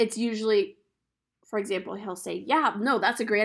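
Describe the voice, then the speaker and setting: Vocal fry on a very clean recording with a silent background. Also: woman. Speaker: podcast host. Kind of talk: solo podcast monologue. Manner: casual, conversational.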